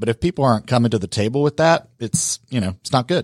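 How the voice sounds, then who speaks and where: A man speaks at a very fast pace in a medium pitch. The recording is very clean with a silent background and a dry, close sound with no echo. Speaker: networking organization founder. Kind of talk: interview. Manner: fluent.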